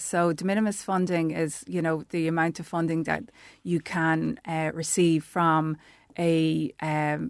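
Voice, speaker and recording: A woman's fairly low voice with an Irish accent, fairly slow, in a dry, close sound with no echo. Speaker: tourism development officer. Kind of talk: radio interview. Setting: studio.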